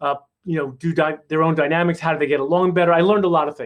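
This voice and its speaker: Here a man speaks at a high pitch in a New York accent. His intonation is fairly even, and the background is quiet. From New York City, Queens. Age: 60s. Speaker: chiropractor and family mentor. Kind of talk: workshop talk.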